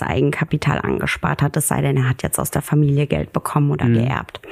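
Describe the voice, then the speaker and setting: The voice belongs to a woman. Noticeable background noise is present. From Germany, near Koblenz. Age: 20s. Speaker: financial advisor. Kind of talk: podcast interview.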